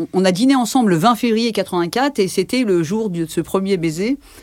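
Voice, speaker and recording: Lively intonation runs through a woman's medium-pitched voice. The recording is very clean, with a silent background. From Paris region, France (Algerian family). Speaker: interviewee sharing life story. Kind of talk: testimony. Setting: in-person interview. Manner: hesitant, many fillers.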